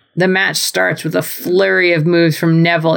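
A woman's very deep, low voice, animated and dramatic, at a fairly quick pace. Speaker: podcast host. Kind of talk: wrestling commentary. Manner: animated, mock-dramatic play-by-play; laughs often, wry humor.

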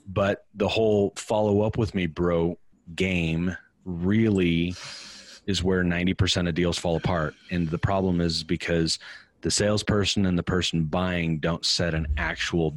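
A man with a very deep, low pitch, monotone flat intonation, very even loudness and a fairly slow pace, in a very clean recording with a silent background. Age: 40s. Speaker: sales coach. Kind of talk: interview conversation. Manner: casual.

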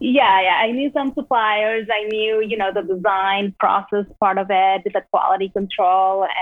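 Against noticeable background noise, a woman with a Spanish accent speaks at a fairly slow pace with hardly any pauses, at a medium pitch for a woman and with fairly even intonation. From Peru. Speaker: entrepreneur. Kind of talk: interview.

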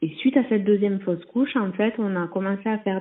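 A woman talks in a plain, everyday voice at medium pitch. Her pace is fairly slow. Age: 20s. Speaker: nurse. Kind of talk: testimony.

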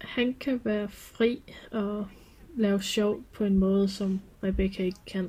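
Somewhat breathy and dark, mellow in tone, a woman speaks very slowly at a medium pitch. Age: 20s. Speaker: clothing craftsperson and furry hobbyist. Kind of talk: personal interview, reflective testimony. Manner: halting, many hesitations.

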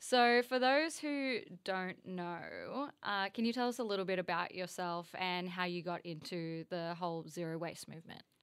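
A woman with an unremarkable speaking voice talks at a medium pitch and a moderate pace, with lively intonation and hardly any pauses. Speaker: podcast co-host. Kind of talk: casual podcast conversation.

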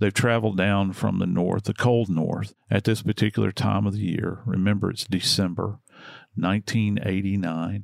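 A man with an unremarkable speaking voice talks at a fairly slow pace, his fairly low pitch showing ordinary variation. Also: dry, close sound with no echo, very clean recording, silent background. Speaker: true crime podcast host. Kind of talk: casual true crime discussion. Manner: conversational, warm.

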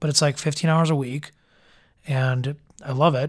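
The recording is very clean with a silent background as a man with a fairly high, somewhat breathy voice speaks at a moderate pace. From Chicago area. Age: 20s. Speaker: musician.

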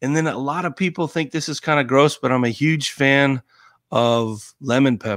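A man with an American accent uses a normal speaking voice, fairly high in pitch with ordinary pitch variation. He talks at a moderate pace on a very clean recording with a silent background. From Colorado. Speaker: former Navy SEAL. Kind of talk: casual chat.

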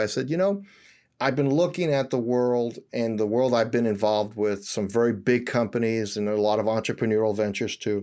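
Speaking with an American accent, a man has a normal speaking voice at a medium pitch and a fairly quick pace. The recording is very clean, with a silent background. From New York City, Washington Heights. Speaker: company founder and CEO. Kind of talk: interview.

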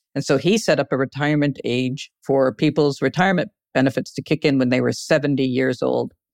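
With a Canadian accent, the speaker moves at a fairly quick pace with hardly any pauses and ordinary pitch variation. The sound is dry and close, with no echo. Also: woman, very deep, low pitch for a woman. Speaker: journalist and author. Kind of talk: interview.

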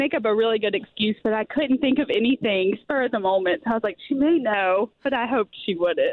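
A fairly high-pitched woman's voice in a Southern US accent, quick-paced, with lively intonation and very even loudness. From Alabama, US South. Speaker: listener caller. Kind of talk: casual chat. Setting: phone call.

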